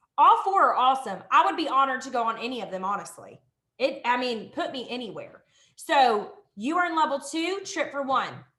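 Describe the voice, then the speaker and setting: Bright and sharp, an animated, raised and projected voice moves at a moderate pace through very wide pitch swings, with audible room echo. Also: woman, big swings in loudness. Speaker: direct sales team leader. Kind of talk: live training webinar.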